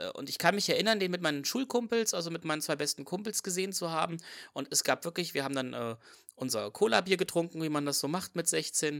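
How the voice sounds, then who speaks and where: On a very clean recording with a silent background, a man talks at a very fast pace in a high pitch with lively intonation. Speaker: podcast guest. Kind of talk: casual chat.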